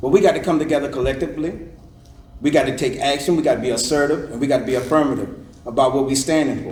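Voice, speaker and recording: A man with a fairly high voice speaks very fast through noticeable background noise. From Savannah, Georgia. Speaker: political candidate. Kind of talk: campaign speech at candidate forum. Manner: loud; animated.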